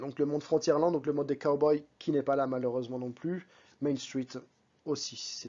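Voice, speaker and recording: Speaking at a moderate pace, a man has a fairly high voice. His intonation is monotone and flat. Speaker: vlogger. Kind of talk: vlog voice-over. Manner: casual, conversational.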